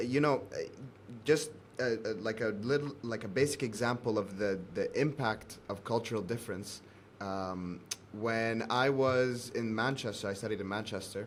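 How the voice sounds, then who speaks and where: An unremarkable speaking voice: a man with an American accent, medium pitch, ordinary pitch variation and a moderate pace. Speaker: podcast host. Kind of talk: interview. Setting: video call.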